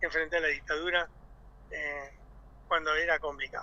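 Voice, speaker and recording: At a moderate pace, a man talks with an Argentine accent. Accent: Rioplatense Argentine Spanish. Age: 60s. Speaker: union leader. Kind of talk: radio interview. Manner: animated.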